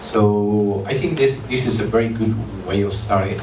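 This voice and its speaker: Over noticeable background noise and audible room echo, a man talks at a moderate pace with a fairly low pitch. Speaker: robotics company founder, panelist. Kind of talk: panel discussion.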